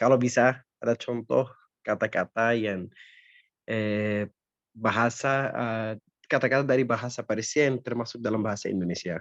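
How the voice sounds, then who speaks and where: Against a quiet background, a speaker with an Arabic accent talks at a fairly quick pace with fairly even intonation. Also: man. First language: Arabic (speaking Indonesian). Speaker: student asking question. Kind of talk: lecture Q&A.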